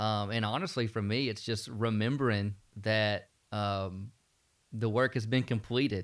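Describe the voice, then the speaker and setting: Speaking at a fairly slow pace, a man uses a Southern US accent and a fairly low pitch. The recording is very clean against a silent background. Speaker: student pastor. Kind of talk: Bible study discussion, podcast.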